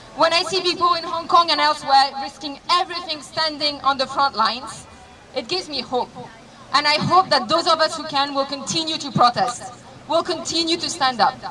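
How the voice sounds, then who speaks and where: Against noticeable background noise, a woman with a high pitch projects a raised voice at a fairly quick pace with ordinary pitch variation. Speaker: activist, protest organizer. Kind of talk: rally speech. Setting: outdoors at a rally.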